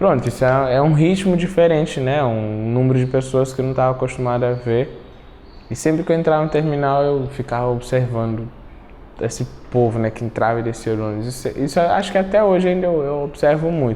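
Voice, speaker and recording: Noticeable background noise is present. A man talks with ordinary pitch variation. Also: medium pitch for a man, fairly quick pace. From Cape Verde. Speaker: immigrant, advertising designer. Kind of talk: documentary interview.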